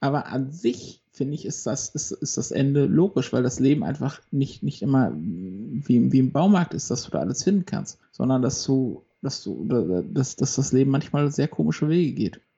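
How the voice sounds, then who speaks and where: Somewhat breathy, a man with a medium pitch speaks with lively intonation. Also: moderate pace, hardly any pauses. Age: 30s. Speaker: podcast co-host, accountant. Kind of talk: casual chat.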